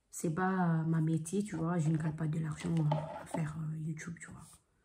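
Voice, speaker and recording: Her voice fairly low for a woman, she speaks slowly-ish with fairly even intonation, and audible room echo surrounds the recording. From Congolese heritage. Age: 20s. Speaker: vlogger. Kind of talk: casual vlog monologue.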